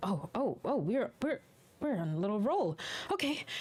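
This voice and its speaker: Someone mumbles in a put-on character voice. The pitch is fairly high and the pace moderate. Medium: actual play. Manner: mumbling, stammering.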